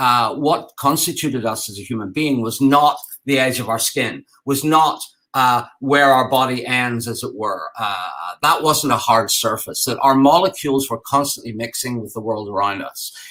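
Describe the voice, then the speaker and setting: Speaking with an Irish accent, a man uses a medium pitch and a bright, sharp tone, with ordinary pitch variation at a moderate pace. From Ireland. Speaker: game design and architecture teacher. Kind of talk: conference talk. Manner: halting, many fillers.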